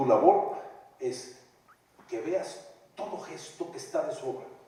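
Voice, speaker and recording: An animated man amid noticeable background noise and audible room echo. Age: 60s. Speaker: stage actor. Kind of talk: post-show talk with audience.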